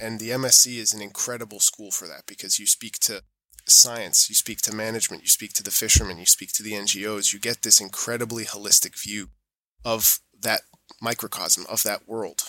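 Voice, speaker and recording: Here a man with an American accent talks at a moderate pace, in a fairly low pitch with a bright, sharp tone. His intonation stays fairly even while his loudness swings widely, and the sound is dry and close with no echo. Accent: American-sounding. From Europe, US-born with American mother. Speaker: certification auditor. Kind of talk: interview conversation.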